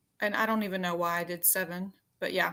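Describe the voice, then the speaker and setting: A woman's bright, sharp voice with a strong Southern US accent, at a moderate pace. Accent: Southern US accent, pretty strong. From Arkansas, US South. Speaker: paranormal YouTuber. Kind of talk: casual chat.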